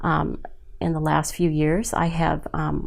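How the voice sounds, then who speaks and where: Speaking at a fairly slow pace in an American accent, a woman is heard with audible room echo. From Southern California, San Juan Capistrano. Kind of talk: oral history interview. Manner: halting, many fillers.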